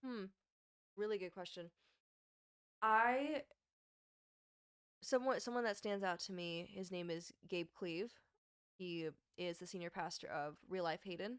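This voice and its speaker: The speaker moves at a fairly slow pace with ordinary pitch variation and long, frequent pauses. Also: woman, medium pitch for a woman. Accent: American. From US Pacific Northwest, western Washington. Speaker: life coach. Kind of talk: interview.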